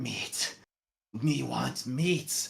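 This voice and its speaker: A put-on character voice growls in a raspy, low-to-middle pitch. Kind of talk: crude, broken speech. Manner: growling.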